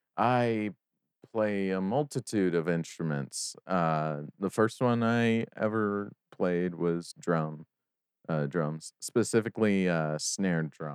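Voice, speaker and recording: A man's very deep, low voice at a very slow pace, dry and close with no echo. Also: ordinary pitch variation. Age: 20s. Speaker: sound designer and music producer. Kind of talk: casual interview.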